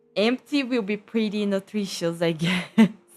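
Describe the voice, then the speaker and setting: A woman with a Portuguese accent and lively intonation. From Brazil. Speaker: artist livestreamer. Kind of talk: casual livestream chat while drawing. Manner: halting, with fillers and repeated words.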